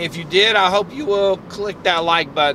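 A man's raised, projected voice at a fairly slow pace, with ordinary pitch variation, dry sound with no echo and light background noise. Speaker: vlogger driving. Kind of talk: casual vlog chat. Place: car. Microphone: phone near.

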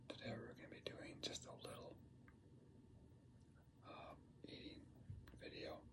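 A man speaks at a moderate pace with noticeable background noise behind him. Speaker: ASMR creator. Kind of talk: ASMR eating video, whispered talk. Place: home room. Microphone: phone near.

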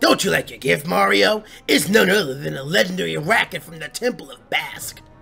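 A man uses a put-on character voice with a fairly high pitch. Faint music plays in the background. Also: fairly quick pace. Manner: gruff, exaggerated.

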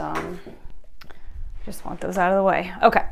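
Noticeable background noise sits behind a woman talking at a moderate pace. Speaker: fluid acrylic painting artist. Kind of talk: casual tutorial talk to camera. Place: workshop. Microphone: camera far.

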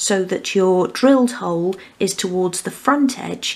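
The woman's pace is fairly slow. Her pitch moves in an ordinary way. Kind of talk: tutorial. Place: home room.

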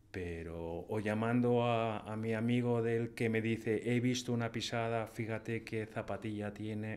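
At a fairly slow pace, a man talks with monotone, flat intonation. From Spain, Madrid. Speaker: painter and hunter; podcast guest. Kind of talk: casual interview. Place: studio. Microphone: studio mic.

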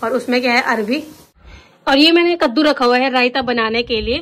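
This woman's high-pitched voice moves at a moderate pace with fairly even intonation. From Uttarakhand, Rudraprayag. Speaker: vlogger. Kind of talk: casual vlog talk to camera. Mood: cheerful festive. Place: kitchen. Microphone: phone near.

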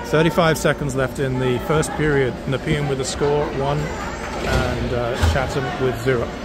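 A man talks with hardly any pauses and very even loudness, with ordinary pitch variation. The sound is dry with no echo, though loud background noise is present. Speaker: hockey game commentator. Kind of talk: live sports commentary. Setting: streaming a game from the rink. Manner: rapid-fire, play-by-play, clipped name-and-pass calls; casual, chatty, laughs and asides mid-play. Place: stadium.

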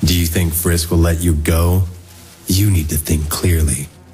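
Putting on a character voice, a man speaks at a moderate pace in a very deep, low pitch with monotone, flat intonation over clear background noise. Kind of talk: comic dub dialogue.

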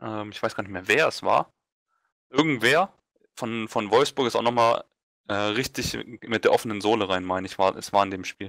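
Over a silent background in a very clean recording, a man talks at a moderate pace and fairly low pitch with ordinary pitch variation. His loudness swings widely, and he takes long, frequent pauses. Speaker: football talk panelist. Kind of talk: casual chat.

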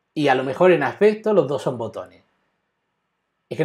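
A man's very fast speech over a quiet background. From Spain. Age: 40s. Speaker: web developer; web development instructor. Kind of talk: live coding tutorial; tutorial. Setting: live stream. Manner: halting, with many repetitions.

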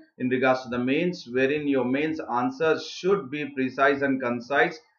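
Audible room echo carries a voice with fairly even intonation at a moderate pace, over a quiet background. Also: man. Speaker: online exam tutor. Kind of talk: lecture. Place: home room.

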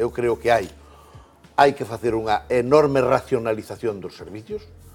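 The speech moves at a fairly slow pace over faint background music. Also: man. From Galicia. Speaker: political commentator. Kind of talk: panel debate. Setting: TV studio. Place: studio. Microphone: lapel.

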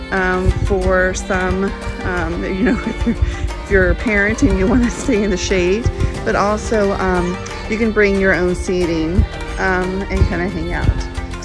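Clear music plays in the background of this dry recording with no echo, with a fairly slow pace. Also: woman. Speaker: park reviewer vlogger. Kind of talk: casual vlog tour commentary. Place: open country. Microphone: phone near.

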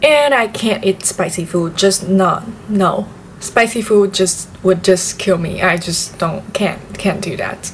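A woman's very slow speech with ordinary pitch variation over light background noise. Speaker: vlogger. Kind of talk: casual vlog chat. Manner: casual, chatty. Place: home room. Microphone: camera far.

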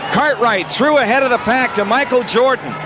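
A man speaks in a raised, projected voice, with music in the background. The sound is dry, with no echo. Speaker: play-by-play announcer. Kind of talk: sports commentary. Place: stadium. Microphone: headset.

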